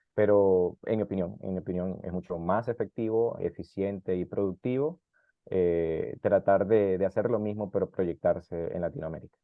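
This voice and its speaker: His is an unremarkable speaking voice, fairly low in pitch for a man. He talks at a moderate pace with ordinary pitch variation. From South America. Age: 30s. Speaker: immigrant interviewee. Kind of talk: interview.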